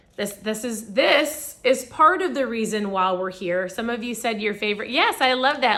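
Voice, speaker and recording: Upbeat woman's voice at a moderate pace, with very wide pitch swings. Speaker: wellness product seller and livestreamer. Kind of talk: casual livestream chat. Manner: chatty and upbeat.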